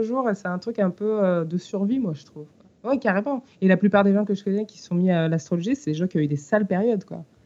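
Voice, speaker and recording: The loudness swings widely in this dark, mellow voice, which moves at a fairly quick pace with ordinary pitch variation. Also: woman. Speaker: musician and songwriter. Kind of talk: interview.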